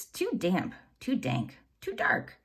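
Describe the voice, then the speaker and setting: A woman uses a put-on character voice. It is high-pitched for a woman and squeaky. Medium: read story.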